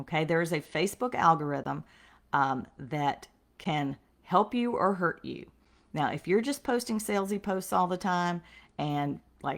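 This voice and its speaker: Using a plain, everyday voice, a woman talks at a moderate pace with a fairly low pitch and lively intonation. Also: very clean recording, silent background. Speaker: sales trainer for direct sales reps. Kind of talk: live-streamed sales training.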